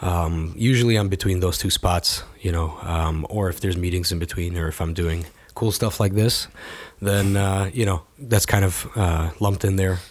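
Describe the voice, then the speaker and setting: At a moderate pace, a man with a very deep, low pitch speaks somewhat breathily and with fairly even intonation. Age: 20s. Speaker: cafe and printing business owner. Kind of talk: interview.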